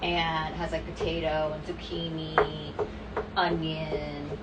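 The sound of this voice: A woman's low-pitched voice at a slow pace, with little pitch movement and clear background noise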